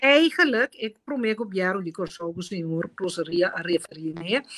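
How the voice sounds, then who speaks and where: A woman speaks at a moderate pace with a Caribbean accent. The background is quiet. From Curaçao. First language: Papiamentu (speaking Portuguese). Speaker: politician; guest. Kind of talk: interview. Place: home room. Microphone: video call.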